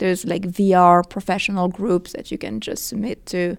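A woman speaks in a French accent at a medium pitch. Her pace is moderate, her intonation fairly even, and the recording very clean with a silent background. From France. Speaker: film and VR producer. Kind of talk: interview. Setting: conference venue.

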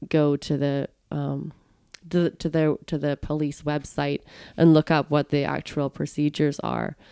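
The recording is dry and close, with no echo. A woman with a very deep, low pitch speaks at a moderate pace in a monotone, flat intonation. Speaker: podcast interviewer. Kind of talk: casual interview.

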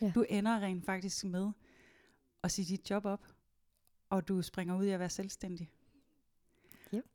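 A woman of medium pitch with a dark, mellow tone speaks in a monotone, flat way at a fairly slow pace with long, frequent pauses, on a very clean, dry, close recording with a silent background and no echo. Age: 30s. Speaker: podcast host. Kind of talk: casual chat. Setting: studio. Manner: hesitant with many fillers.

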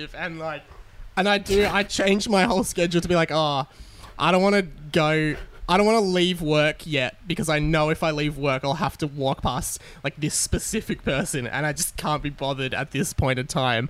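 At a moderate pace, a man talks in an Australian accent. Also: fairly high pitch for a man, ordinary pitch variation. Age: 20s. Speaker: radio panel operator. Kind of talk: casual chat. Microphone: own microphone, new mic.

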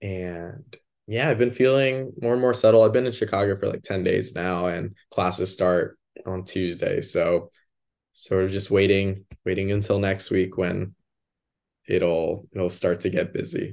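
A man with an American accent and a plain, everyday voice, fairly low in pitch with ordinary pitch variation, at a fairly slow pace against a quiet background. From US suburbs. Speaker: graduate student. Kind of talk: casual chat. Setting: remote call from his bedroom.

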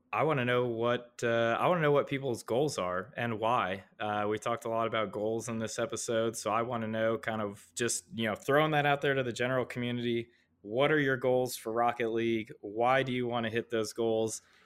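A man at medium pitch talks at a fairly quick pace with fairly even intonation in a plain, everyday voice. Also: hardly any pauses. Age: 30s. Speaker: gaming league co-founder. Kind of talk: casual chat.

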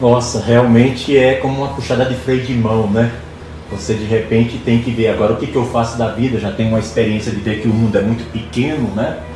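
A man speaks at medium pitch and a fairly quick pace with fairly even intonation. Audible room echo and noticeable background noise are present. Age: 60s. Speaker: podcast host. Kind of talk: interview.

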